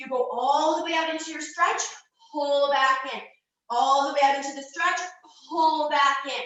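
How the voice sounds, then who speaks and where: Pitched high, a woman speaks at a moderate pace with long, frequent pauses and fairly even intonation, and audible room echo surrounds her voice. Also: big swings in loudness. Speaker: fitness coach. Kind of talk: exercise tutorial.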